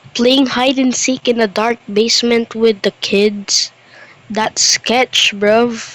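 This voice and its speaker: Recorded dry and close with no echo amid noticeable background noise, a woman speaks very slowly at a fairly high pitch in a monotone, flat intonation. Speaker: reaction youtuber. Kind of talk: casual reaction commentary. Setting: alone in dark bedroom. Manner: quiet.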